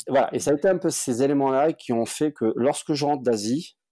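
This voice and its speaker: A man's dark, mellow voice at a fairly quick pace, with ordinary pitch variation. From southern France, Montpellier. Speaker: startup cofounder and CEO. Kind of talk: interview conversation.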